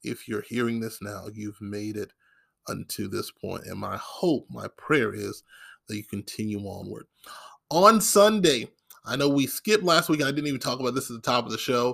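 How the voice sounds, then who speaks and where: With an American accent and a normal speaking voice, the speaker talks at a moderate pace with lively intonation and big swings in loudness, on a very clean recording with a silent background. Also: man, medium pitch for a man. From Maryland. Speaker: podcast host. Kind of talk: casual monologue. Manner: frequent filler words.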